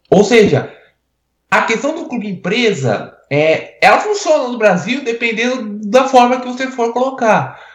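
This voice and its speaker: Lively intonation and big swings in loudness mark this fairly slow delivery, heard with audible room echo. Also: man, extremely high pitch for a man. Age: 20s. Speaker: sports journalist. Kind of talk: casual chat. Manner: halting, many repetitions.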